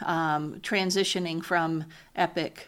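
A woman with an American accent and a normal speaking voice talks at a fairly low pitch with fairly even intonation. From US South, South Louisiana. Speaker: hospital executive. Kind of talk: interview.

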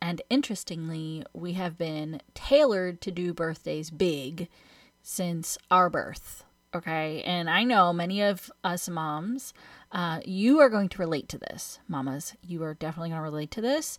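With an American accent, a woman talks at a fairly slow pace in a fairly low pitch, her pitch varying in an ordinary way while her loudness swings widely. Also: very clean recording, silent background. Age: 30s. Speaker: money coach, podcast host. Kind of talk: solo podcast monologue. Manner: animated.

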